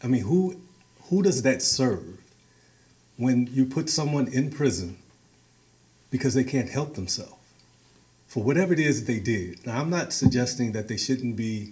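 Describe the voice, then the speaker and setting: Speaking with an American accent, a man with a dark, mellow, somewhat breathy tone uses lively intonation and takes long, frequent pauses. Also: medium pitch for a man, moderate pace. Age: 60s. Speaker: community organizer. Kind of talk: talk to a meeting.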